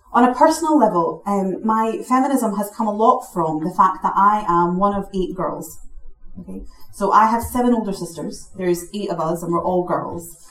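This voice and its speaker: A woman talks with lively intonation. Noticeable background noise is present. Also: medium pitch for a woman, moderate pace. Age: 30s. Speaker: equality charity director. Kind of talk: panel talk.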